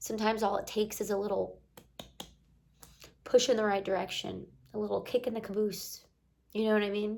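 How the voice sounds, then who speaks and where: The delivery is fairly quick but broken by long, frequent pauses. Intonation stays monotone and flat. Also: woman, fairly high pitch for a woman. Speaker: life coach and self-development vlogger. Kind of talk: casual motivational talk to camera. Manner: lower energy than usual.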